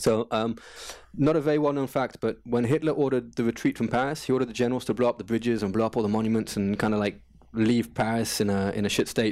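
The man talks at a very fast pace with medium pitch. His intonation is fairly even and his loudness very even. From England. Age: 40s. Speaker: gym owner. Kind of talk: casual interview.

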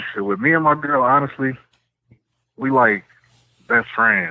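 In a relaxed tone, a man talks at a fairly quick pace. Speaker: caller. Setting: phone. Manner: relaxed, casual.

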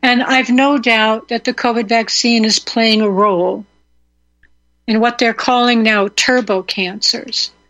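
An unremarkable speaking voice moves at a fairly slow pace, with fairly even intonation and very even loudness. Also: woman, fairly high pitch for a woman. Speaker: radio host. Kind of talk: live talk radio show, host monologue. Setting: radio studio broadcast with call-ins. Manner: conversational, rambling, opinionated, indignant.

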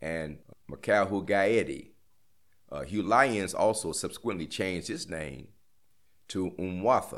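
A man speaks very slowly with an American accent, his pitch fairly low. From Gary, Indiana, US Midwest. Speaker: former death row prisoner. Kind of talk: interview testimony. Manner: halting, many hesitations and restarts.

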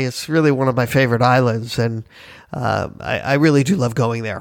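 On a very clean recording with a silent background, a man with an American accent speaks in an ordinary speaking voice at a medium pitch, a moderate pace and with ordinary pitch variation. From Miami, Florida. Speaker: travel agency owner and podcast host. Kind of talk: casual podcast monologue.

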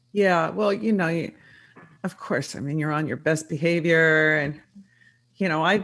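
A woman's fairly low-pitched voice, a normal speaking voice, with fairly even intonation against a quiet background. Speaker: public relations entrepreneur and author. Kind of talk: interview. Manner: uses many fillers.

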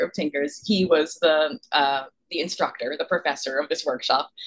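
A woman with an American accent and an ordinary speaking voice, at a moderate pace with ordinary pitch variation. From New York. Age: 30s. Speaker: novelist. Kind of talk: interview.

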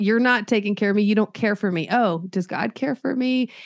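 A woman speaks at medium pitch with ordinary pitch variation, in a normal speaking voice. The sound is dry and close with no echo, and the background is quiet. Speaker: counselor. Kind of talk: casual interview.

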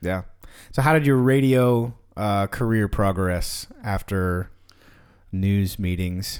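Against a very clean, silent background, a man with an American accent speaks at a very slow pace in a fairly low pitch, with ordinary pitch variation and long, frequent pauses. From Texas. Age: 30s. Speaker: podcast host and musician. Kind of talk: casual interview chat. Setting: studio, streamed live.

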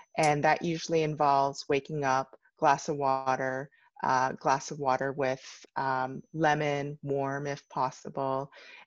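Flat and monotone, a woman with a very deep, low pitch speaks at a fairly slow pace. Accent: Canadian. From Canada. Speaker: entrepreneur. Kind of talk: interview.

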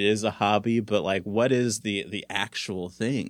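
A man with an American accent and an ordinary speaking voice talks at a moderate pace and a medium pitch. His intonation is fairly even, on a very clean recording with a silent background. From South Central Los Angeles, California. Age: 30s. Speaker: comedian. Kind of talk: casual chat.

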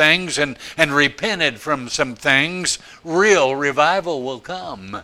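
Here a man speaks in a fairly high pitch. His tone is bright and sharp. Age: old. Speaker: preacher. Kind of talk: sermon. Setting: church. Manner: animated, emphatic pulpit delivery, driving home points by repeating phrases; alliterative, rhythmic, building to a crescendo.

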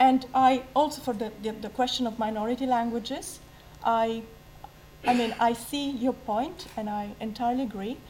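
A woman with a high pitch, a moderate pace, and fairly even intonation. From Italy. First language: Italian. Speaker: Italian literature lecturer. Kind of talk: public debate talk. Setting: stage with audience. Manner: halting.

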